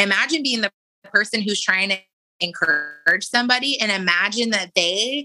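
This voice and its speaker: An animated woman with a Californian accent and fairly high pitch. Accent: Californian American English. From San Diego, California. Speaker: model and influencer. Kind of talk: interview conversation.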